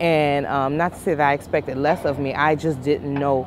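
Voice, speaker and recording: Noticeable background noise sits under a woman talking at a moderate pace with a very deep, low pitch. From Louisiana (Lafayette) and DC area. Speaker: small business owner, driver. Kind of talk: interview.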